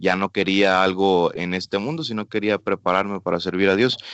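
Monotone, flat intonation at a moderate pace. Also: man. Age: 20s. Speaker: missionary. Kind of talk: radio interview.

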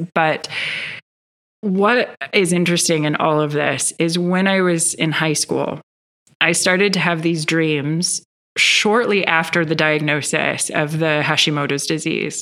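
A woman's fairly low-pitched, fairly slow delivery with an American accent, an ordinary speaking voice, fairly even intonation and very even loudness. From US Midwest, Northern Michigan. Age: 30s. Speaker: yoga teacher and meditation guide. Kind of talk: casual interview chat.

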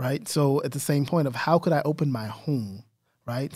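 An ordinary speaking voice from a man with an American accent, medium pitch and ordinary pitch variation. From Texas, San Antonio. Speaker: diversity and inclusion trainer. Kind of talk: interview.

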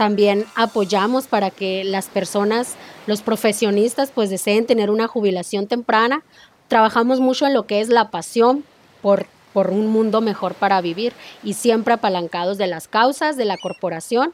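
A woman's normal speaking voice, fairly high in pitch, with ordinary pitch variation at a moderate pace. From Mexico. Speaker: network marketing entrepreneur. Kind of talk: interview.

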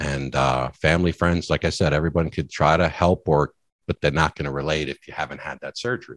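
In a dry, close recording with no echo, the voice shows vocal fry and fairly even intonation. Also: man, very deep, low pitch for a man, fairly quick pace. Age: 40s. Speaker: weight-loss surgery patient and app founder. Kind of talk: interview. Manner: halting.

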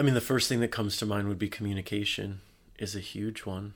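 In a very clean recording with a silent background, a man with an American accent and a plain, everyday voice speaks at a fairly low pitch with fairly even intonation. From USA. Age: 40s. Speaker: love and relationship speaker. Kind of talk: casual interview. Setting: hotel room.

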